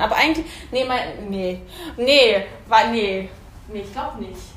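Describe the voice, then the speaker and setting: Audible room echo and noticeable background noise mark the recording. The woman speaking shows ordinary pitch variation. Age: 30s. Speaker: hairdresser. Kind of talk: casual chat. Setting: hair salon. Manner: halting, many fillers.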